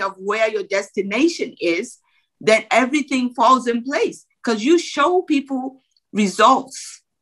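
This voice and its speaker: A woman's raised, projected voice with a Nigerian accent, high-pitched, bright and sharp in tone, with lively intonation at a fairly slow pace. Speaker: former bank executive and business coach. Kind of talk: motivational interview talk.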